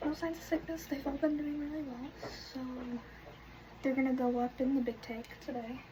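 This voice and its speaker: Woman at a fairly quick pace amid noticeable background noise. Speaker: vlogger, horse barn worker and fish keeper. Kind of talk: casual vlog narration.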